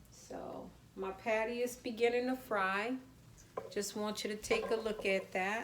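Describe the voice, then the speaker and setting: Spoken at a fairly slow pace with a New Orleans accent, the voice stays flat and monotone against an audible room echo. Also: woman, fairly high pitch for a woman. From US South, New Orleans. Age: 40s. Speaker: home cooking channel host. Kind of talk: live cooking demonstration. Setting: home kitchen, livestream. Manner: casual, chatty.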